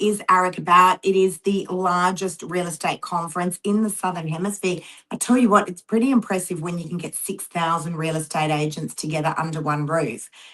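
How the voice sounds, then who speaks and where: This woman speaks in an Australian accent at a medium pitch with ordinary pitch variation. Her pace is moderate, and she hardly pauses at all. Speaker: real estate agent and show host. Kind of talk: casual chat.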